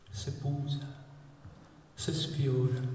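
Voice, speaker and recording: A man with a fairly high voice speaks in a room with strong echo and light background noise. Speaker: author and performer. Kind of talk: humorous dialect poetry performance. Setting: live outdoor evening event. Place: church.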